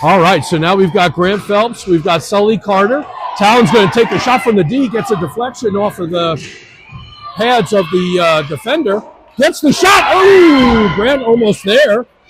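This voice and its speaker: Lively in intonation, a man speaks at a high pitch with music in the background. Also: moderate pace. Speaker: youth hockey live stream commentator. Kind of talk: live commentary. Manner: loud; animated.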